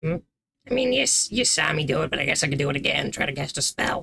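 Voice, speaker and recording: A raspy, put-on character voice at a low-to-middle pitch and a fairly quick pace. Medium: actual play. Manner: casual, flippant.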